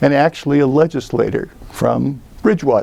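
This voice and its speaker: A man speaks at a medium pitch and a fairly slow pace, with lively intonation. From western US. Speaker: local election candidate, retired teacher. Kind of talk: candidate campaign statement.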